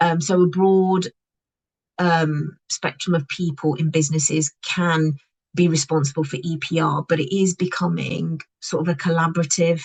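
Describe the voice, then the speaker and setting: The voice belongs to a woman with a fairly low pitch and somewhat breathy delivery. Her intonation is monotone and flat, and the sound is dry and close with no echo. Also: moderate pace. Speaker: packaging compliance consultant. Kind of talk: webinar presentation. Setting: online webinar.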